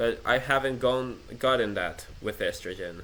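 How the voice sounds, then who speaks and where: The voice carries a non-native accent. It belongs to a man. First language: not English. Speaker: vlogger. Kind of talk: personal rant monologue. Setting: self-recorded, improvised setup. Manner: halting, many restarts.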